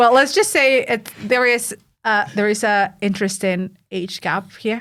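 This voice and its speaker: A woman with a Mexican accent speaks at a fairly slow pace, her fairly high pitch moving with ordinary variation. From Mexico. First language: Spanish. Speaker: podcast host, ultra runner and coach. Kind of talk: casual chat.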